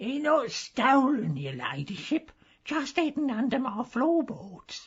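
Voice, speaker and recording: Someone uses a put-on character voice, speaking at a fairly slow pace. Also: woman, high pitch for a woman. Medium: audio drama. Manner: smug, common.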